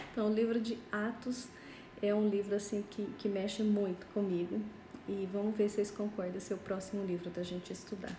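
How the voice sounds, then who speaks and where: Delivered at a fairly quick pace, the speech has a monotone, flat intonation. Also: woman, medium pitch for a woman. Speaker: pastor. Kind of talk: Bible study livestream. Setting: Instagram live.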